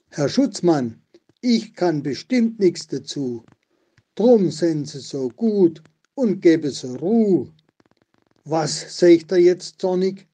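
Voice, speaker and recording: A man's high-pitched voice with a dark, mellow tone and lively intonation, very slow delivery, long and frequent pauses, and big swings in loudness. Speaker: local historian. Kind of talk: dialect poetry reading.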